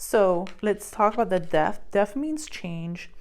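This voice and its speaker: Speaking very slowly with a non-native accent, a woman keeps a medium pitch and ordinary pitch variation. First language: not English. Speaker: tarot reader and psychic medium. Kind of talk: tarot card reading. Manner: halting, many fillers.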